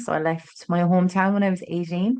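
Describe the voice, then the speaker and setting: Speaking in an Irish accent, a woman uses a fairly low pitch and a monotone, flat intonation. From Ireland, Tralee, County Kerry. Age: 30s. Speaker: author and agency owner. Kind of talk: podcast interview. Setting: in person, same room.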